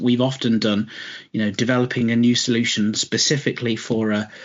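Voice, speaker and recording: A man with a British accent talks at a fairly quick pace, his pitch medium. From Britain. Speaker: logistics company CEO. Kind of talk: podcast interview. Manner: halting, repeats words.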